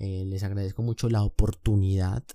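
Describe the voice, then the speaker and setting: The tone is dark and mellow. It comes across in a very clean recording with a silent background. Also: man. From Colombia. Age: 20s. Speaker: podcast host. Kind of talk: casual monologue.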